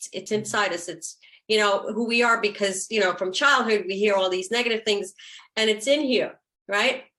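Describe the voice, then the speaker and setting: A woman with an unremarkable speaking voice talks at a moderate pace, her pitch fairly high and its variation ordinary. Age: 60s. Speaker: real estate video host. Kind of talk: interview wrap-up, motivational talk.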